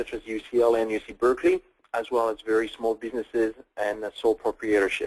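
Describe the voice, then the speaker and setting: Speaking at a fairly quick pace with a French accent, a man's medium-pitched voice comes through with a dry, close sound and no echo. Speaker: tech company CEO. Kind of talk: webinar product presentation. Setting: online webinar call.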